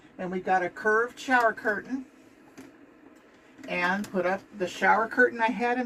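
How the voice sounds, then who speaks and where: A woman speaks at a moderate pace with a fairly high pitch and ordinary pitch variation. Noticeable background noise sits behind her voice. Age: 70s. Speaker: RV traveler and YouTuber. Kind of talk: casual home tour. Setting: inside her motorhome.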